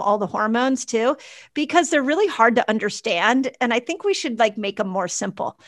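On a very clean recording with a silent background, a woman talks at a fairly quick pace in a high, bright, sharp voice with an animated tone and lively intonation. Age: 50s. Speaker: doctor and health educator. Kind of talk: casual interview.

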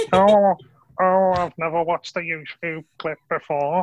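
A man's put-on character voice, high-pitched, flat and monotone, at a fairly slow pace. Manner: quaint, unfamiliar with modern things.

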